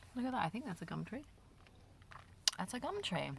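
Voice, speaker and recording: A woman speaks with an Australian accent. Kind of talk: ASMR chit chat while eating candy. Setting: parked car near a road. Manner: casual, rambling.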